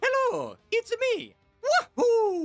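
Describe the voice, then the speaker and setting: Pitched extremely high, the voice is a put-on character voice. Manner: exaggerated, cartoonish, cheerful.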